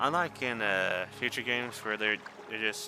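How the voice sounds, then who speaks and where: Music plays behind a man whose fairly low voice moves through ordinary pitch variation. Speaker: gaming YouTuber. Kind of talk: gameplay commentary. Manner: halting.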